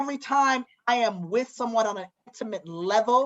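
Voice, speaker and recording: Lively intonation and an animated tone mark this woman's voice. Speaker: podcast co-host. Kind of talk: casual chat.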